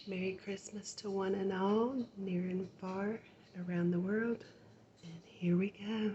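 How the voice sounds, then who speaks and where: A soft-spoken woman's dark, mellow voice, somewhat breathy, monotone and flat, at a very slow pace. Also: medium pitch for a woman. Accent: American. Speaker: ASMR artist. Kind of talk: casual ASMR intro to camera.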